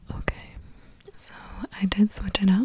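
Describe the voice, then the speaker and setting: With noticeable noise behind it, the whispered speech moves at a fairly slow pace. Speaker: ASMR creator. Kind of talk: soft-spoken ASMR ramble to camera. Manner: whispered, soft-spoken, rambling.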